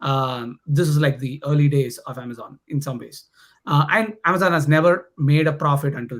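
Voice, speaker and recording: At a moderate pace, a somewhat breathy man speaks with a fairly high pitch and ordinary pitch variation. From India, Chennai (South India). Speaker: tech program manager. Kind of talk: podcast interview. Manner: hesitant, many fillers.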